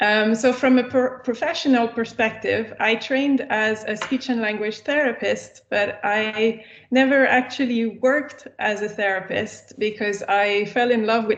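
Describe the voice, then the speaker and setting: A woman speaks in a French accent at a fairly slow pace. Her pitch is fairly high and her intonation fairly even. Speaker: researcher and lecturer. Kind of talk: lecture. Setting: video call.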